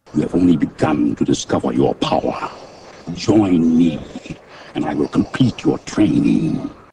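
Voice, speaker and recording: Putting on a menacing character voice, a man speaks at a moderate pace in a very deep, low pitch. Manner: menacing, commanding.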